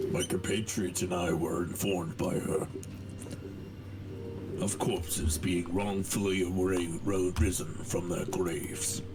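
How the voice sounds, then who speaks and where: A man puts on a character voice, pitched very deep and low, at a fairly slow pace. He leaves long, frequent pauses against loud background noise. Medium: actual play. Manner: formal, polite.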